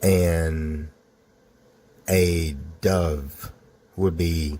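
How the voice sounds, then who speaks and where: A man's very deep, low voice, dark and mellow in tone and somewhat breathy. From US South, Georgia. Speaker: storyteller. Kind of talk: personal true story narration. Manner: casual, conversational.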